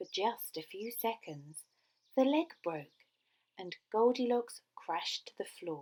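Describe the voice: Over a quiet background, the speaker does plain reading aloud with lively intonation.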